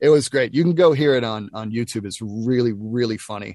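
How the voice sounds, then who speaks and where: Against a quiet background, a man in an American accent uses a normal speaking voice at medium pitch and a moderate pace. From US South, Nashville. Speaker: voice actor. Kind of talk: casual chat.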